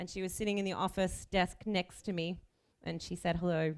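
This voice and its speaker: Speaking with an Australian accent, a woman keeps a fairly low pitch and a monotone, flat intonation. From Australia (Melbourne). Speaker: chief bridesmaid. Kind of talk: wedding speech. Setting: wedding reception with audience.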